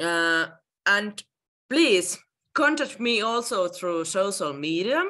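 With a Finnish accent, a woman speaks in a bright, sharp tone with very wide pitch swings. Her pace is very slow, with long, frequent pauses against a quiet background. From Finland. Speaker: guest house owner; guest. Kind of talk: presentation. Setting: video call. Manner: halting. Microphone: video call.

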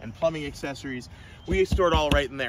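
A man speaks with lively intonation. The sound is dry with no echo, over noticeable background noise. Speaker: RV seller. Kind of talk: sales walkthrough. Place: garden. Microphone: phone near.

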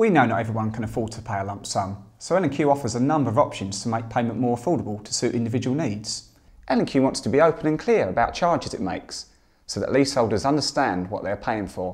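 A man rushes through his words very fast, with the background quiet. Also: ordinary pitch variation. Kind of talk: interview answer. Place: home room. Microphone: lapel.

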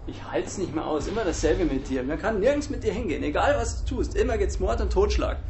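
Whiny and put on as a character voice, the speech races at a very fast pace with hardly any pauses over clear background noise. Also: man. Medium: short film. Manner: whiny, anxious, complaining.

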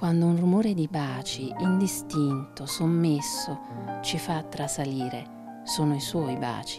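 A woman's very deep, low pitch at a very slow pace, lively intonation and music in the background. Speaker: narrator. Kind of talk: literary legend reading.

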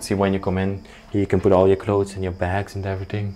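Clear music plays in the background as a man talks at a fairly low pitch. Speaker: urban explorer vlogger. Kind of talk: casual vlog chat. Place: hall. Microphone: lapel.

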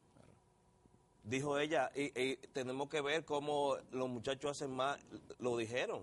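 A man at a fairly slow pace, fairly even in intonation, with long, frequent pauses. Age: 50s. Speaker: doctor, endocrinologist; guest. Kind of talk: TV interview. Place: studio. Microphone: lapel.

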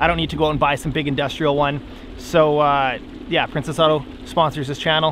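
A man at a fairly quick pace, dry with no echo, over light background noise. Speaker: fishing vlogger. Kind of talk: casual vlog chat. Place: boat. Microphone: phone near.

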